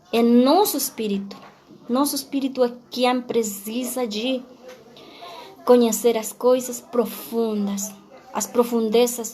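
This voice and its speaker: Against noticeable background noise and audible room echo, a woman speaks with a Spanish accent. Her pitch is fairly high and her pace very slow. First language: Spanish (speaking Portuguese). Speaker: pastor. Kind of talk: sermon. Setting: livestream on social media. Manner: halting.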